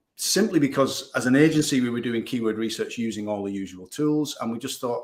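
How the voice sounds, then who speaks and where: A man with a Northern English accent at a fairly quick pace. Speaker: digital marketing agency owner. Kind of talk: podcast interview.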